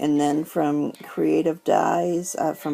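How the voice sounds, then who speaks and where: A woman's very deep, low voice with vocal fry and very wide pitch swings. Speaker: paper crafter, stamp collector. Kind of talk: casual talk to camera.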